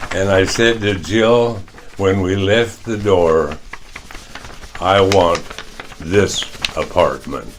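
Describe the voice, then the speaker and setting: A man with a Midwestern US accent, very slow pace, long and frequent pauses, fairly low pitch, fairly even intonation, noticeable background noise and audible room echo. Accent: US Midwest. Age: 90s. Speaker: retired teacher and coach, care home resident. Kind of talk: testimony.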